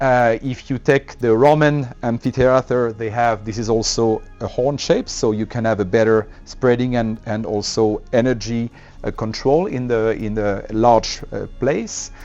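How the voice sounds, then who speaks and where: A man with a French accent and a medium pitch, fairly slow and fairly even in intonation, with music in the background. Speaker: loudspeaker company representative. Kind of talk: interview explaining a product. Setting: hi-fi dealer showroom event. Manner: hesitant, with many filler sounds.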